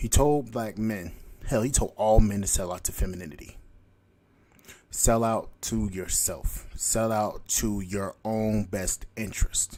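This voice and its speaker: A man speaks at a fairly slow pace in a fairly low, dark, mellow voice with fairly even intonation. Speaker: podcast host. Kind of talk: solo commentary monologue. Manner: halting, stuttering.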